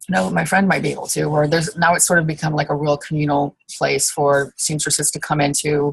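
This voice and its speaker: A woman speaks at a moderate pace in a very deep, low, somewhat breathy voice with monotone, flat intonation. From England. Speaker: costume designer and small business owner. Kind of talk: interview. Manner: hesitant, many fillers.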